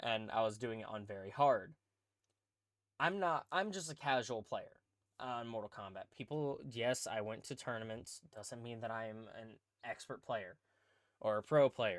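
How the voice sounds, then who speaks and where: In a very clean recording with a silent background, a plain, everyday voice moves at a moderate pace with ordinary pitch variation and big swings in loudness. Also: man, medium pitch for a man. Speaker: podcast host and streamer. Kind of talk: casual chat. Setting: podcast recording with cohost.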